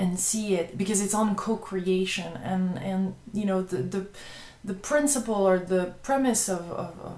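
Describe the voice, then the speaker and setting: A woman at medium pitch in a French accent, her intonation fairly even and her pace moderate, with audible room echo. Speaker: web TV host and video blogger. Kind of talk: casual vlog monologue. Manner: halting, many repetitions and fillers.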